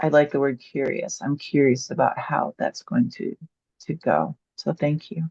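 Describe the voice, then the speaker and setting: A woman talks at a moderate pace. Her voice sounds dry and close, without any echo. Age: 60s. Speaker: webinar participant. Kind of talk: testimony.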